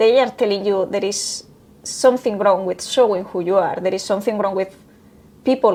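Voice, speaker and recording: This voice, with a Spanish accent, keeps a fairly even intonation. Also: woman. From Spain. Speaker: human resources professional. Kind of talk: interview. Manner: halting.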